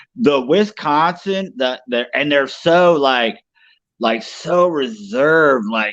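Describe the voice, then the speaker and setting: Over a quiet background, a man with a fairly high pitch speaks at a very slow pace with lively intonation. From East Tennessee. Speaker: co-host. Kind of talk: casual chat. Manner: loud.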